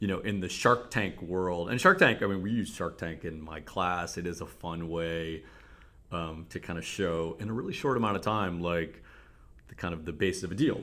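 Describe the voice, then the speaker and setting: In a Cleveland accent, a man with a very deep, low pitch speaks at a moderate pace with fairly even intonation and a bright, sharp tone. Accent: Cleveland, general American. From Cleveland, Ohio. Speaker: business professor and venture capitalist. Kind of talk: casual interview.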